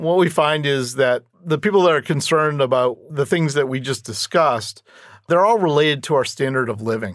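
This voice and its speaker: This man has a plain, everyday voice with a fairly high pitch. He talks at a fairly quick pace with ordinary pitch variation. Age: 50s. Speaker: retirement expert. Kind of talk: interview.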